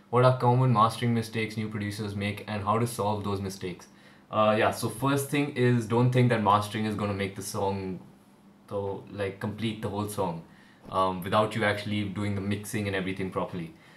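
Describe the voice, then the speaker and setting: Amid audible room echo, a man speaks at a fairly quick pace with a fairly low pitch and fairly even intonation. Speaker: music producer and YouTuber. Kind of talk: live stream Q&A. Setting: livestream on camera at home. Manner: fast; hesitant, many fillers.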